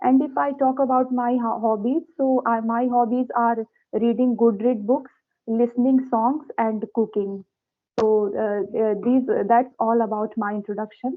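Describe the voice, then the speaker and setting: Someone with an Indian accent talks at a fairly slow pace with fairly even intonation. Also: woman, fairly high pitch for a woman. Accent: Indian English (Hindi). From India, Uttar Pradesh. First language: Hindi. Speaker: teacher. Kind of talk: casual chat. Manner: halting, many fillers.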